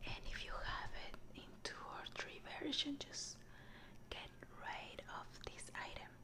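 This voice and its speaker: Over loud background noise, a soft-spoken woman whispers at a very slow pace. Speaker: book reviewer. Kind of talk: casual vlog chat. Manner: soft ASMR whisper. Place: home room. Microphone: phone near.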